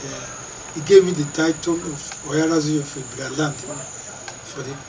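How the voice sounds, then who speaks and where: A man's fairly high pitch, moderate pace and monotone, flat intonation, with noticeable background noise. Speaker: traditional ruler, Ohi of Okene. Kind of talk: interview answer, life story. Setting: interview.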